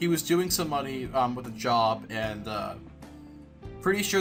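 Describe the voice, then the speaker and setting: Background music plays while a man talks. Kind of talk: unscripted movie commentary. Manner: hesitant, with stutters and pauses.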